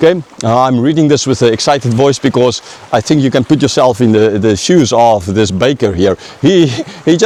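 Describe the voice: Someone does plain reading aloud here.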